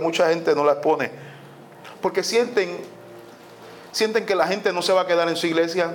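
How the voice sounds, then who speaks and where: Speaking at a fairly quick pace in a Puerto Rican accent, this animated voice comes through over noticeable background noise. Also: man. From Puerto Rico. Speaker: pastor. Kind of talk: sermon.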